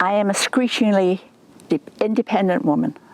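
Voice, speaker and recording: A woman's medium-pitched voice, with ordinary pitch variation at a moderate pace, has a dry, close sound with no echo amid noticeable background noise. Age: 80s+. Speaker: program client, senior. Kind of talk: interview testimony.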